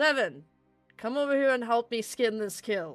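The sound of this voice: At a moderate pace, a booming, fairly high-pitched put-on character voice speaks over faint music in the background. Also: female-sounding voice.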